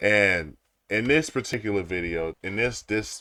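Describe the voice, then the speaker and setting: A man's fairly low, bright, sharp voice at a moderate pace with ordinary pitch variation, in a dry, close sound with no echo on a very clean recording with a silent background. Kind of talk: casual reaction commentary. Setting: audio technical difficulties.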